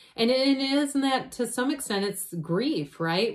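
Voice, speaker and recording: A woman speaks at a fairly slow pace with lively intonation against a quiet background. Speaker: tarot reader. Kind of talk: tarot reading commentary. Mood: warm, reassuring. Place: home room. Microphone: phone near.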